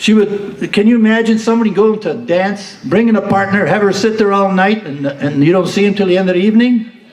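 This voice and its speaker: The speaker talks at a fairly quick pace with ordinary pitch variation, and there is noticeable background noise along with audible room echo. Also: man. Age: 80s+. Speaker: retiree giving birthday speech. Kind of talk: speech at a party. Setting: banquet hall with audience. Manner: formal, earnest.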